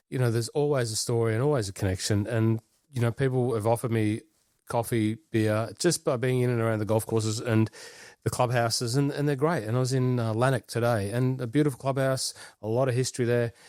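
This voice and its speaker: A man with an Australian accent speaks at a very fast pace in a medium pitch, with fairly even intonation and very even loudness on a very clean recording with a silent background. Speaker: golf podcast co-host. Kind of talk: casual chat.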